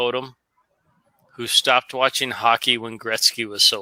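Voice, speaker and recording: Medium in pitch, a man speaks at a moderate pace with an American accent and monotone, flat intonation. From United States. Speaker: live stream host. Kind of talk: casual chat.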